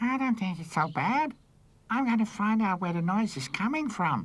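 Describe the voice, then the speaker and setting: In a very clean recording with a silent background, a female-sounding cartoonish character voice at a medium pitch for a woman speaks at a moderate pace. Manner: cheeky, impulsive.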